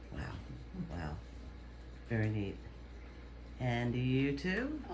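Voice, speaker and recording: A man speaks at a very slow pace. Background noise is noticeable and the room echo is audible. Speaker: interviewer. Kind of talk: casual interview. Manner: loud.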